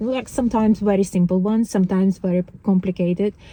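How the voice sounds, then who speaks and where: Her voice is dark and mellow, at a medium pitch, with a non-native accent. The woman is heard against a quiet background. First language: not English. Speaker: spiritual vlogger. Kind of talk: casual monologue vlog. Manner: halting, many fillers and restarts.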